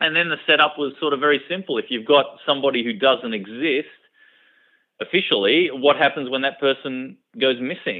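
This man speaks with an Australian accent and ordinary pitch variation. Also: fairly high pitch for a man, fairly quick pace. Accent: typical Australian. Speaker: author. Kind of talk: radio interview. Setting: radio studio.

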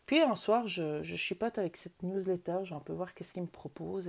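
Moderate pace and medium pitch from a woman. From Switzerland, canton of Vaud. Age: 40s. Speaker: wellbeing podcaster. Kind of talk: personal storytelling monologue. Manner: hesitant with fillers.

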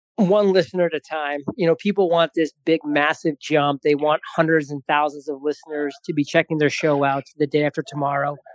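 A man uses a normal speaking voice with fairly even intonation and a fairly high pitch. He talks at a fairly quick pace with hardly any pauses, and the sound is dry and close with no echo. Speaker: podcast host and founder. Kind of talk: recorded podcast contribution, advice talk.

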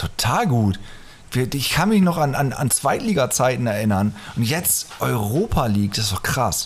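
This man talks with lively intonation. His pitch sits at a medium level. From northern Germany. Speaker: podcast host. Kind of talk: casual chat. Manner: fast. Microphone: echoey, cave-like sound.

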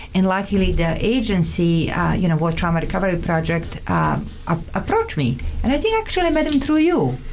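A woman with a Montenegrin accent at a fairly quick pace, with very even loudness and noticeable background noise. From Montenegro. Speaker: immigrant guest, therapist. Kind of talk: casual interview chat. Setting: studio.

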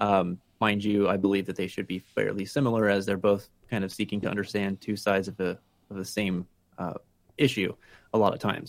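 A man with a Pennsylvania accent, at a moderate pace. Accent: Pennsylvania American. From Pennsylvania, Allentown (Lehigh Valley). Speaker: patient sharing mental health experience. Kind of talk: interview. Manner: halting with frequent fillers.

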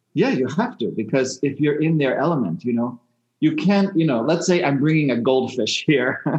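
A man speaks in an ordinary speaking voice at a moderate pace. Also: fairly high pitch for a man, lively intonation. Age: 60s. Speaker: shamanic healer. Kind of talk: interview.

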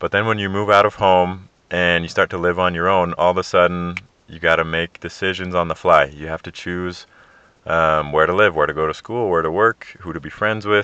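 A man's very deep, low voice at a fairly quick pace, with fairly even intonation and big swings in loudness. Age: 20s. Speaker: podcast host. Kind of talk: solo podcast monologue. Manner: casual, with frequent fillers.

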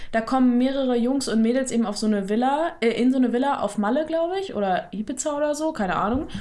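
A woman talks at a very fast pace with hardly any pauses, at a high pitch and with lively intonation. Noticeable background noise runs underneath. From Ruhr area, western Germany. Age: 20s. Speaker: podcast co-host. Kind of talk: casual chat.

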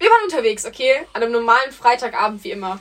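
Very fast and lively in intonation, a woman speaks. Background noise is noticeable. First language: not German (speaking German). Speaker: podcast co-host. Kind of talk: casual chat.

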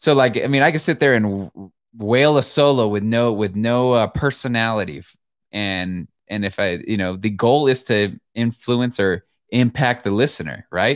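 In an ordinary speaking voice, a man talks at a moderate pace and medium pitch with ordinary pitch variation. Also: very clean recording, silent background. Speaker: guitarist. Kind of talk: casual chat. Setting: live-streamed studio conversation.

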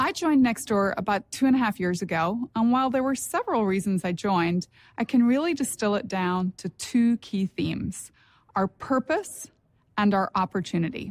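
A somewhat breathy woman talks at a moderate pace, with a fairly high pitch and lively intonation. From Northern Ireland. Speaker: company executive. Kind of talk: corporate presentation.

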